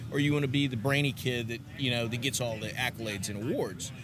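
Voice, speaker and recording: A man talks at a very fast pace. He has a Texan accent, and audible room echo surrounds his voice. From Texas, US. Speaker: charcoal company representative. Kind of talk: casual interview. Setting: conference venue.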